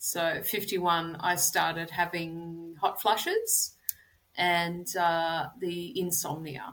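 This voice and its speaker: In an Australian accent, a woman speaks very slowly in a fairly low pitch with monotone, flat intonation. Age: 50s. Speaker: personal trainer. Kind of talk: interview.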